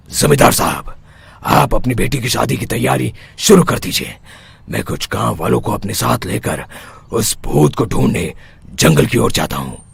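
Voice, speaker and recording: A cartoonish character voice from a man, very deep and low, with very wide pitch swings at a moderate pace. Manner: assured, authoritative.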